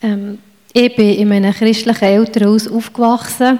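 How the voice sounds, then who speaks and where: At a moderate pace, a woman talks in a fairly high voice with monotone, flat intonation. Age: 40s. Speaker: church member. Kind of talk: testimony.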